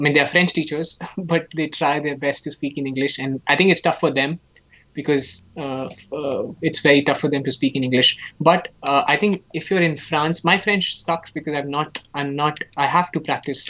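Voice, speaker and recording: A man talks with an Indian accent at a moderate pace. His pitch is fairly high, with fairly even intonation. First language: Hindi. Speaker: animation artist and student. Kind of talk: casual chat during live painting demo. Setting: live stream.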